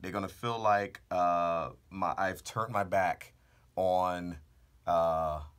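In hushed surroundings, a man is talking. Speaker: car channel host. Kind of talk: casual vlog chat. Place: booth. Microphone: studio mic.

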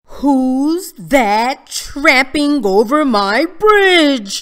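Bellowing in a put-on character voice, a woman speaks at a high pitch and a very slow pace. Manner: roaring, gruff.

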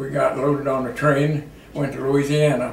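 A man with a Midwestern American accent is heard with audible room echo and light background noise. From Iowa. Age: 80s+. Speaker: war veteran. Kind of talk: interview answer. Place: home room. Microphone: camera far.

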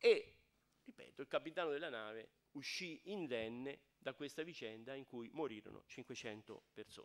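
This man has an unremarkable speaking voice pitched fairly high. He talks at a fairly slow pace with ordinary pitch variation. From Tuscany, Garfagnana (Lucca); Tuscany. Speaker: architect and emigration archive director; guest lecturer. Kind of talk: lecture. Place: hall.

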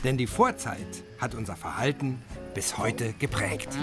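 A man talks fairly slowly as music plays in the background. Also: medium pitch for a man, lively intonation. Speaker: film narrator. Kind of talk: lecture-like film narration. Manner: measured, didactic, pseudo-scientific.

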